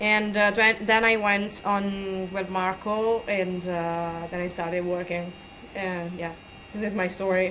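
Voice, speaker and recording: Delivered at a fairly slow pace in a monotone, flat intonation with an Italian accent, the speech carries audible room echo. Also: woman, medium pitch for a woman. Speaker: comic artist. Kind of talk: convention panel interview. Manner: halting.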